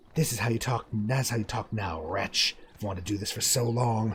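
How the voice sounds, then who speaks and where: Raspy and menacing, a man puts on a character voice at a medium pitch and fairly quick pace amid clear background noise. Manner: snarling, menacing.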